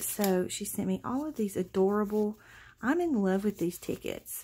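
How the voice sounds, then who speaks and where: A woman with a somewhat breathy voice talks at a moderate pace with lively intonation. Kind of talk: casual vlog chat. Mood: excited, delighted.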